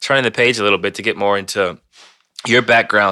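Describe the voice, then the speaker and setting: A man with a fairly low pitch and a bright, sharp tone talks at a fairly quick pace in a very clean recording with a silent background. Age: 30s. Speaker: sports podcast host. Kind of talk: casual sports podcast chat and interview.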